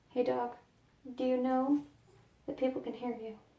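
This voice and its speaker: Noticeable background noise is present. The speaker keeps to a moderate pace. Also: woman. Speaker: makeup vlogger. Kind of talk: tutorial. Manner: soft-spoken.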